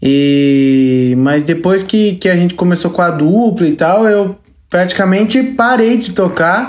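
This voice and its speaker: Audible room echo surrounds a woman speaking at a very slow pace. Her medium-pitched voice has lively intonation. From Brazil, Registro, Vale do Ribeira (São Paulo state). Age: 20s. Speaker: sertanejo singer. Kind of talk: casual chat.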